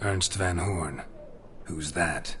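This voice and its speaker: With clear background noise behind him, a man uses a raspy put-on character voice pitched very deep and low. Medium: short film. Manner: terse, dry.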